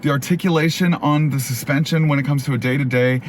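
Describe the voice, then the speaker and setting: A man with a fairly high pitch can be heard over noticeable background noise. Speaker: car reviewer. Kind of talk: car review vlog while driving. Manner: fast.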